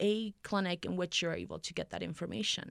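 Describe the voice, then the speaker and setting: In a very clean recording with a silent background, a woman speaks in an ordinary speaking voice at a medium pitch with ordinary pitch variation. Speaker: civil rights and labor organizer. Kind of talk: radio interview.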